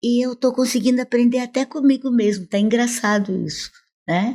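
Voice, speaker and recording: In a very clean recording against a silent background, a woman's voice carries a dark, mellow tone. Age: 70s. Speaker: professor. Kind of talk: interview. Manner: animated.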